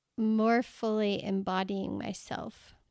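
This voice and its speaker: A woman speaks very slowly in a fairly high, shaky voice with a flat, monotone delivery. The recording is very clean and dry, close-miked with no echo against a silent background. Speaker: podcast host and coach. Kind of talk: personal reflective podcast monologue. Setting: solo podcast recording. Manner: voice goes up and down, shaky.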